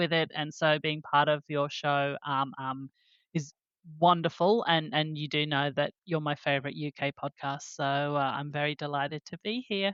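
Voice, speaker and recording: A woman at a moderate pace with a very deep, low pitch. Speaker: regular podcast panelist. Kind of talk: conversational, enthusiastic.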